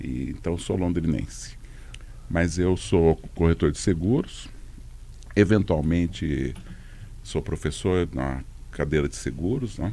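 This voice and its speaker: A man's very deep, low voice with a dark, mellow tone and vocal fry, lively in intonation, at a very slow pace with long, frequent pauses. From Londrina, Paraná, Brazil. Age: 60s. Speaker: walking event organizer. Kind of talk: casual chat.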